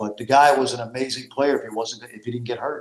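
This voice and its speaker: Talking at a moderate pace, a man has an ordinary speaking voice at medium pitch with fairly even intonation. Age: 60s. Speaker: college basketball analyst and former coach. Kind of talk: casual chat.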